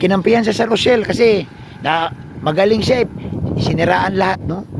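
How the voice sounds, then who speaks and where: Noticeable background noise sits under a man's high-pitched voice. His pace is moderate and his pitch moves in an ordinary way. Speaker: vlogger. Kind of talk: casual vlog rant. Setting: outdoors on a mountain.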